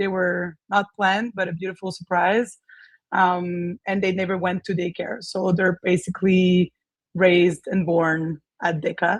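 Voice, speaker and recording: The speaker has a French Canadian accent and a monotone, flat intonation. The pace is fairly slow. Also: woman, medium pitch for a woman. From Quebec, Canada. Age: 30s. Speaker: gym owner. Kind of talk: interview.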